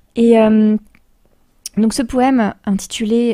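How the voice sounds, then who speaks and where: With a Polish accent, a woman speaks in a dark, mellow tone. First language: Polish (speaking French). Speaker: radio host. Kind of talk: radio talk show.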